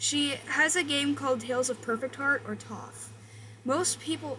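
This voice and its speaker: Someone speaks with an American accent over noticeable background noise. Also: woman. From Minnesota, USA. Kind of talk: commentary video essay read aloud. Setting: echoey bedroom with air conditioner noise. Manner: stuttering, halting when reading aloud.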